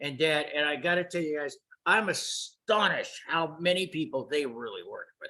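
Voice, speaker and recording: A man with an American accent uses a raised, projected voice. His tone is bright and sharp, with lively intonation. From Los Angeles, US. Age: 70s. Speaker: retired photographer and computer consultant. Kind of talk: casual interview. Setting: video call.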